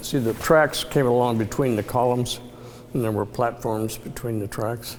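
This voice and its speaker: Noticeable background noise accompanies a man whose intonation is fairly even. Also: medium pitch for a man, moderate pace. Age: 80s+. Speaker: transit history enthusiast. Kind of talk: casual reminiscing on location tour.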